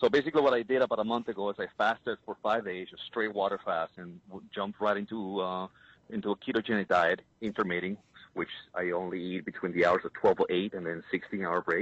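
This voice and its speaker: Speech at a very fast pace carries ordinary pitch variation. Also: man, fairly low pitch for a man. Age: 40s. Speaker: caller, bodybuilder. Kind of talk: call-in question. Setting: phone call.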